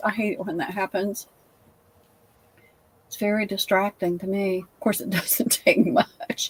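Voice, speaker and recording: Recorded with a dry, close sound and no echo, a woman speaks at a moderate pace in a fairly high pitch with a Southern US accent. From US South. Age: 70s. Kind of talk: casual chat.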